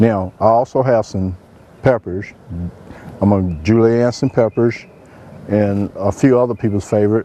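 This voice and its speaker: A man with an American accent, a fairly low pitch, fairly even intonation and a moderate pace, over noticeable background noise. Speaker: chef. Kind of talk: cooking show presentation. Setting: outdoors. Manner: soft-spoken.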